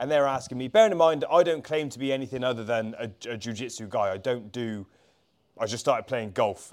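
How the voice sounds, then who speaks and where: A man with an unremarkable speaking voice talks at a fairly quick pace and a medium pitch, with ordinary pitch variation. His loudness swings a lot on a very clean recording with a silent background. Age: 20s. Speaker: jiu-jitsu coach. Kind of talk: casual chat. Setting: at the gym.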